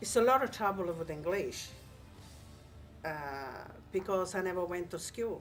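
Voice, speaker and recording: Here is a woman with an Italian accent. Her pitch sits in the medium range. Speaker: migrant interviewee. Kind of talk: interview testimony.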